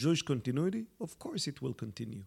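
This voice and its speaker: A man with an Israeli accent is heard on a very clean recording with a silent background. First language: Hebrew. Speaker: journalist and author. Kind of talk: interview conversation. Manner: hesitant, many fillers.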